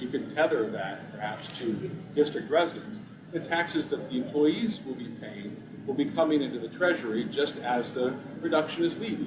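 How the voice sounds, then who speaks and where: With lively intonation and a fairly high pitch, a man speaks at a fairly quick pace over noticeable background noise and audible room echo. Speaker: tax commission member. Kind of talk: committee meeting discussion. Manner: loud.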